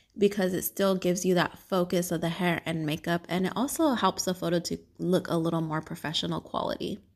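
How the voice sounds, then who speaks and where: Hardly pausing, a woman with vocal fry talks at a fairly quick pace in a fairly low pitch on a very clean recording with a silent background. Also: ordinary pitch variation. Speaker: podcast host and wedding hairstylist. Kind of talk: casual solo podcast chat. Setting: at home. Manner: conversational, off the cuff.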